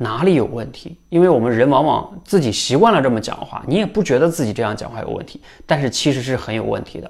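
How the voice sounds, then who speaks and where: A man talks at a very fast pace with very wide pitch swings. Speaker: public speaking coach. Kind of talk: unscripted talk to camera. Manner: conversational, with frequent filler particles.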